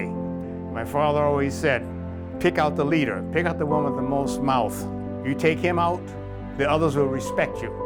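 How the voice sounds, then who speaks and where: Music plays behind a man speaking at a medium pitch and a fairly slow pace. His pitch swings very widely. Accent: American. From Southern United States. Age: 80s+. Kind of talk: documentary interview answer.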